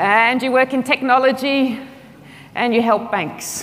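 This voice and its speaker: The speaker has an Australian accent, heard with audible room echo and noticeable background noise. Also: woman. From Australia, outback. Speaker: agile consultant, conference speaker. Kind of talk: conference talk. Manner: fast.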